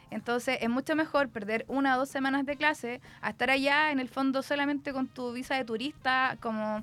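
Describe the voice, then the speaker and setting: With music in the background, a woman talks very fast at a high pitch and with fairly even intonation. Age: 30s. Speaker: student. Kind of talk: interview.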